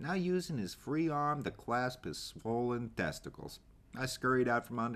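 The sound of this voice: The reading voice is unforced. Pitch moves up and down in an ordinary way.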